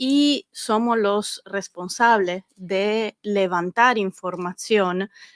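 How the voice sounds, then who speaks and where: In a slight Italian accent, a woman speaks at a medium pitch with ordinary pitch variation, her voice dry and close with no echo on a very clean recording with a silent background. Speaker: government data analyst. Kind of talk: interview.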